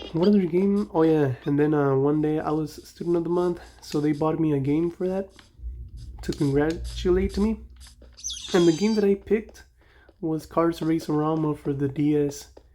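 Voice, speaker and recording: A Mexican accent at a moderate pace. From Mexico. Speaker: gaming youtuber. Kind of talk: casual gameplay commentary. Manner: rambling, conversational.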